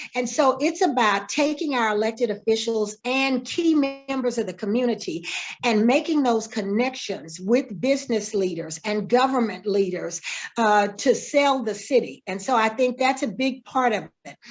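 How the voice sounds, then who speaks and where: A woman with a plain, everyday voice speaks at a moderate pace and a fairly high pitch, her intonation lively. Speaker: mayoral candidate. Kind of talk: candidate Q&A.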